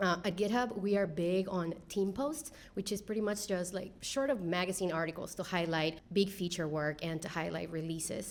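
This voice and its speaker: Heard with audible room echo, a woman speaks at a medium pitch with a Spanish accent. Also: ordinary pitch variation, moderate pace. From Peru. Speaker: engineering leader. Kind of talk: panel discussion. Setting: stage with audience.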